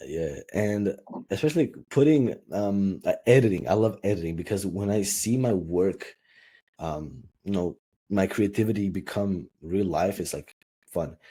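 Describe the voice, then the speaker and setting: A man speaks at a fairly slow pace in a dark, mellow tone. His pitch variation is ordinary. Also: fairly low pitch for a man. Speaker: YouTuber. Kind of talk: podcast interview. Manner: halting.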